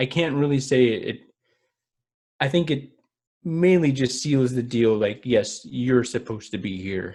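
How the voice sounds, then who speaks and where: Pausing long and often, a man talks at medium pitch with ordinary pitch variation. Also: fairly slow pace. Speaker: podcast co-host. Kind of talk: casual chat. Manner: slow.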